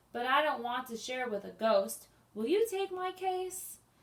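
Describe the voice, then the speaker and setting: A woman puts on a high-pitched character voice and talks at a moderate speed. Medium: read story.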